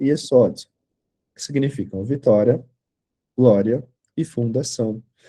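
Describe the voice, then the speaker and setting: A man speaks with a somewhat breathy voice and a dark, mellow tone. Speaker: tarot teacher. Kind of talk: lecture. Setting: online class video call.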